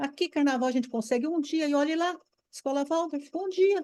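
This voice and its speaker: At a fairly slow pace, a woman with a high voice speaks in an animated tone with lively intonation. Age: 70s. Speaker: former Waldorf teacher, course participant. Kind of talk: online course discussion.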